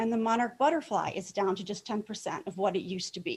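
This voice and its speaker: A woman with an American accent, somewhat breathy, with lively intonation. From metropolitan Detroit. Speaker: master gardener. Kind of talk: presentation talk. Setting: club meeting, in person and on video call.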